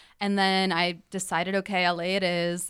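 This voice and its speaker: On a very clean recording with a silent background, a woman with an American accent speaks in a plain, everyday voice, fairly low in pitch. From Chicago suburbs, US Midwest. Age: young. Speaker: actress. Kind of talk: casual chat.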